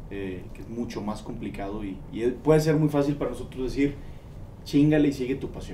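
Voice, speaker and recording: With a Mexican accent, a man speaks at medium pitch and a fairly quick pace. His loudness swings widely over light background noise. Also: ordinary pitch variation. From Mexico. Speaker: podcast interviewer. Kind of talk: casual interview. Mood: reflective, thoughtful. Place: studio.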